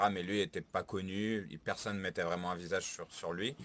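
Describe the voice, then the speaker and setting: Very deep, low male speech delivered fairly quickly. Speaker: music show panelist. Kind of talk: casual chat. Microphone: echo and low volume.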